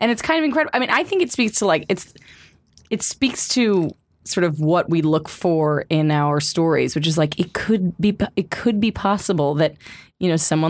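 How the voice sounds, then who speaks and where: A woman with an American accent and an ordinary speaking voice, fairly low in pitch, with ordinary pitch variation, at a moderate pace, on a very clean recording with a silent background. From New York. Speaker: podcast host. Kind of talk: casual chat.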